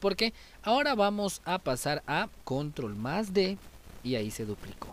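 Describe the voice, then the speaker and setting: A man's animated voice. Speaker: YouTube music tutorial creator. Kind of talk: tutorial.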